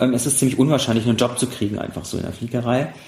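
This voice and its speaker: A man talks with fairly even intonation. Noticeable background noise runs under his voice. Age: 30s. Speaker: pilot and former paralympic sailor. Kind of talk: casual interview. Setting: half-emptied apartment.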